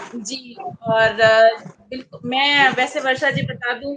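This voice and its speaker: Fairly even intonation runs through speech delivered in a Bihar accent. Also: woman. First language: Maithili (speaking Hindi). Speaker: English teacher and poet. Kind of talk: panel discussion.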